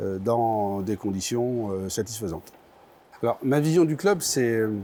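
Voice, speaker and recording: With lively intonation, a man speaks in a dark, mellow voice at a medium pitch. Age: 60s. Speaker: basketball club president. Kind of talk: interview statement. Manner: halting, many hesitations.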